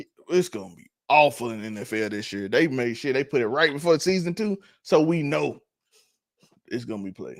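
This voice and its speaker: A man with a Mississippi accent, fairly high pitch and very wide pitch swings, talking at a fairly quick pace on a very clean recording with a silent background. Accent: Mississippi country. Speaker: podcast co-host. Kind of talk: casual chat.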